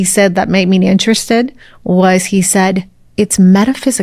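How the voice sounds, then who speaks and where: Spoken at a moderate pace with an American accent, this is an unremarkable speaking voice with ordinary pitch variation. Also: woman. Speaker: spiritual mentor and breathwork coach. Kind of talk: interview conversation.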